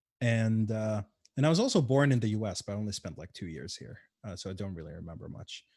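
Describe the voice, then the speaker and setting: With an Arabic accent, a man talks very fast in a fairly low, dark and mellow voice, his intonation lively and his loudness swinging widely, on a very clean recording with a silent background. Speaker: game developer and community organizer. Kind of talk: casual interview. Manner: hesitant, many fillers.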